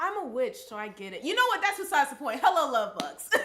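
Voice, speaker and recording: Over noticeable background noise, a woman speaks very fast in a raised, projected voice with very wide pitch swings. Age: 20s. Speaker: podcast co-host. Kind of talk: casual chat. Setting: live stream.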